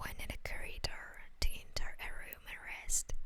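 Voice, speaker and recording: Whispering in a soothing tone at a very slow pace. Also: woman. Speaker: ASMR story narrator. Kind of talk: ASMR fanfiction story narration. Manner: whispered, soothing.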